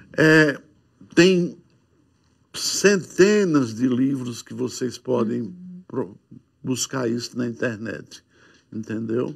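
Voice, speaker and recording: A man speaks at a medium pitch and a very slow pace, with long, frequent pauses. His intonation is lively, his loudness swings widely, and the background is quiet. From Seridó, Rio Grande do Norte, Brazil; Rio Grande do Norte, Brazil. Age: old. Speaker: musician; guest. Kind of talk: testimony. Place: studio. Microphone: lapel.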